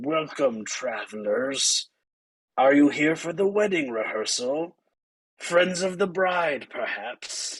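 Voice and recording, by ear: A man's put-on character voice, fairly high in pitch, at a fairly slow pace.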